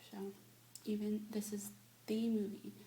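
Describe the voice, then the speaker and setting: A soft-spoken woman with a gentle tone, talking at a fairly slow pace against noticeable background noise. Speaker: ASMR creator / whisperer. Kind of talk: ASMR review, casual talk to camera. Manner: soft-spoken, gentle.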